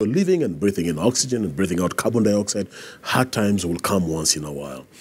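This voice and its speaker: A man's very deep, low voice at a very fast pace, with lively intonation. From Kenya. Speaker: bishop. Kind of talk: interview. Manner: hesitant fillers. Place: studio. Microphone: lapel.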